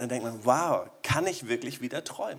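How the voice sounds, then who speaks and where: A man speaks in an animated tone. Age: 40s. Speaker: pastor. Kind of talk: sermon.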